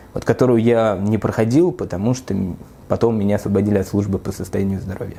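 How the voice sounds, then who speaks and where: This man's fairly low voice moves at a fairly quick pace with fairly even intonation. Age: 30s. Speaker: human rights lawyer. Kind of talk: interview monologue. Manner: halting, many filler sounds.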